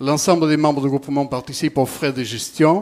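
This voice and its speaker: This is a man speaking. His pitch is fairly high. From southern France. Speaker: city councillor. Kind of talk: reading out a council motion. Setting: council meeting. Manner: halting, stumbling over words.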